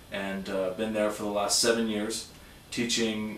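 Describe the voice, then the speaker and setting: Flat and monotone, a man with a Californian accent talks at a fairly low pitch and moderate pace. Room echo is audible, and background noise is noticeable. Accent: General American (Californian). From Southern California (San Diego). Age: 30s. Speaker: high school teacher. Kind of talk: self-introduction video. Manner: hesitant, many fillers.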